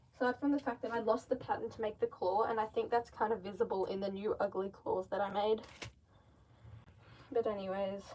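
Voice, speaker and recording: Pausing long and often, a woman with a slight Australian accent otherwise speaks at a fairly quick pace. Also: fairly high pitch for a woman. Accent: Australian, slight (own view). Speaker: mask maker livestreamer. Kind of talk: casual livestream chat while crafting. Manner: animated.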